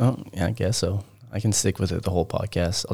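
Putting on a character voice, a man speaks raspy and fairly low-pitched at a fairly quick pace, his intonation fairly even. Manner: spooky Halloween voice, whispery.

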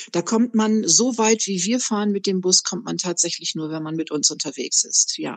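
A woman with a normal speaking voice talks at a moderate pace and medium pitch, with ordinary pitch variation and hardly any pauses. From northern Germany, Bremerhaven. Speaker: tour guide. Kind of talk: interview.

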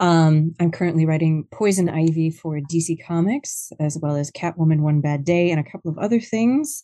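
A woman talks at a moderate pace with hardly any pauses, her pitch fairly low. Her tone is dark and mellow, with ordinary pitch variation. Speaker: comic book writer. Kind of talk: interview.

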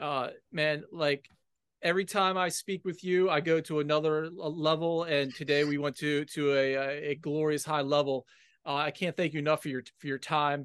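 Fairly high for a man, a plain, everyday voice with an American accent moves at a moderate pace with fairly even intonation. The sound is dry and close with no echo, over a quiet background. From Washington, D.C., US. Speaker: podcast host. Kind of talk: casual interview chat.

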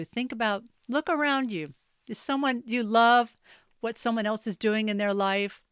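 The speaker has a normal speaking voice with an American accent, moderate pace and ordinary pitch variation. The recording is very clean with a silent background. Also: woman. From US South (North Carolina, raised near Charlotte). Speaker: wellness coach and podcaster. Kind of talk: solo podcast monologue.

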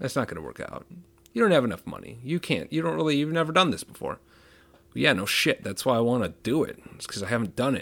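At a very fast pace, a man with a medium pitch and vocal fry speaks with very wide pitch swings and big swings in loudness. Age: 30s. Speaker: podcast host with chronic pain, former 911 dispatcher. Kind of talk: solo podcast monologue. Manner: casual, with fillers.

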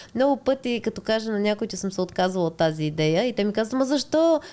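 Very fast and swinging very widely in pitch, a woman talks in a fairly high voice with a dark, mellow tone. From Bulgaria, Montana. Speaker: tattoo artist. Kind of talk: casual interview.

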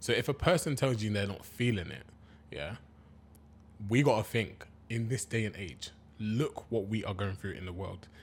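A man's fairly low, somewhat breathy voice with ordinary pitch variation, at a moderate pace with long, frequent pauses. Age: 30s. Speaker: podcast co-host. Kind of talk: casual chat.

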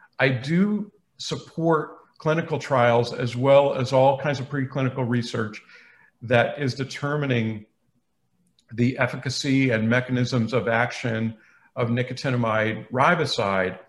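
With an American accent, the speaker talks at a fairly slow pace, somewhat breathy, with ordinary pitch variation. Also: man, medium pitch for a man. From New England (Boston). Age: 50s. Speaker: biochemistry professor. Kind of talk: interview.

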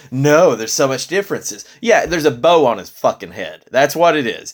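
Recorded very cleanly against a silent background, a man speaks at a moderate pace with an animated tone and lively intonation. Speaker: retro video game podcast host. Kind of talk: casual chat.

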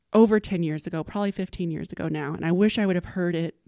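In a very clean recording with a silent background, a woman with an American accent and an unremarkable speaking voice speaks at a medium pitch with ordinary pitch variation. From Texas, small town. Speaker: business leader and entrepreneur. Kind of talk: casual interview.

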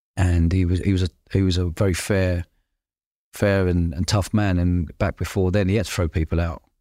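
A man's very deep, low voice with a London accent, a dark, mellow tone, monotone, flat intonation and a fairly quick pace, dry and close with no echo. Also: very clean recording, silent background. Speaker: podcast host and entrepreneur. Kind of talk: casual interview chat. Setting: in person at guest's place.

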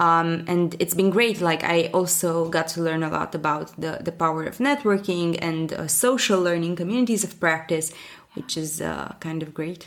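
Against noticeable background noise, a woman with a Romanian accent talks at a moderate pace in a fairly low voice, with ordinary pitch variation and hardly any pauses. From Romania, Bucharest. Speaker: learning and development professional, newsletter founder. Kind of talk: interview.

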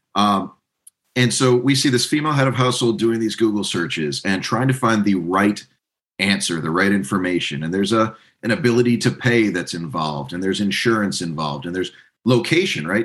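A man talks at a fairly quick pace in an unremarkable speaking voice. His pitch is fairly low, and his intonation lively. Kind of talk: casual interview chat.

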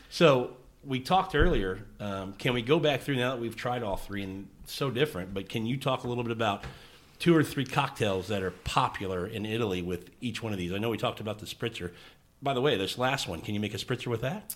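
A man with an ordinary speaking voice talks at a medium pitch and a fairly quick pace, with lively intonation. The recording is very clean, the background silent. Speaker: podcast host. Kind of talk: casual interview.

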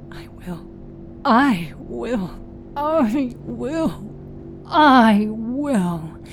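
Music plays behind a female-sounding put-on character voice, guttural and fairly high in pitch. The delivery is very slow. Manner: desperate, repeating.

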